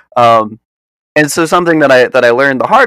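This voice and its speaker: Here a man talks at a very fast pace in a New York accent, with ordinary pitch variation. The sound is dry and close, with no echo. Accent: American, New York. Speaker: environmental activist. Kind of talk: interview. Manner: hesitant, many fillers.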